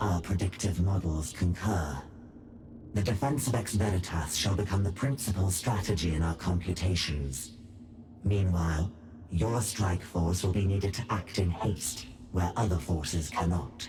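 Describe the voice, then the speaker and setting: Over clear background noise, a man puts on a character voice with a very deep, low pitch and speaks at a moderate pace. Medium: video game. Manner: clinical, emotionless.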